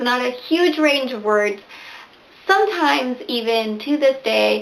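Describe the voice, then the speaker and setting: Over noticeable background noise, a woman talks at a high pitch and a fairly slow pace with lively intonation. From Venezuela (Barquisimeto) to age nine, then US; back in Venezuela for high school. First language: Spanish. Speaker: booktuber. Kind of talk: casual vlog talk to camera.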